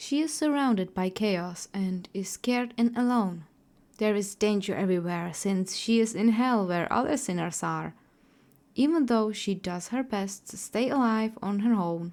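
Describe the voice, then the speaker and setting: A woman speaks at a moderate pace with a non-native accent, in a very clean recording with a silent background. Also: medium pitch for a woman, ordinary pitch variation. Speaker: artist and storyteller. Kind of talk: character backstory narration.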